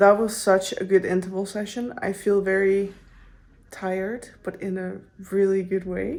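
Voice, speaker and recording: With a non-native accent, a woman speaks fairly slowly in a monotone, flat way, with audible room echo. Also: medium pitch for a woman. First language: not English. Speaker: running vlogger. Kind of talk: casual vlog talk to camera. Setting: gym. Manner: casual, with filler words.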